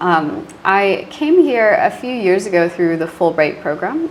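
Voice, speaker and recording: Noticeable background noise sits behind a woman with an American accent and a fairly low pitch. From US, Virginia near Washington DC. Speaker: university English teacher. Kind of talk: interview. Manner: casual, many fillers.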